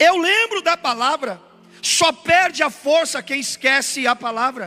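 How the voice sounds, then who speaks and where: Raised and projected, a man's voice at an extremely high pitch carries lively intonation at a fairly slow pace, with a dry, close sound and no echo. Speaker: pastor. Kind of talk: sermon. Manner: emphatic, repetitive preaching.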